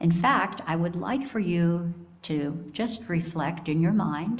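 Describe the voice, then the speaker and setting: Speaking at a very slow pace, a woman uses a fairly low pitch with ordinary pitch variation. Her voice is somewhat breathy, and audible room echo surrounds it. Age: 70s. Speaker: lay speaker at church service. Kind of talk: sermon. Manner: warm, reflective.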